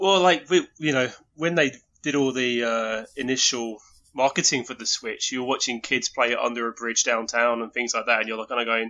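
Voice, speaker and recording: With an English accent, a man speaks at a medium pitch. His pace is moderate and his pitch variation ordinary. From England. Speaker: video game enthusiast. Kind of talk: casual chat. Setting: remote call.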